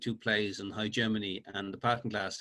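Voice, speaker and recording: With a Dublin accent, a man speaks at a fairly quick pace in a bright, sharp tone. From Ireland, Dublin (Finglas). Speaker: author. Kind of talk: interview. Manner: halting, repetitive starts.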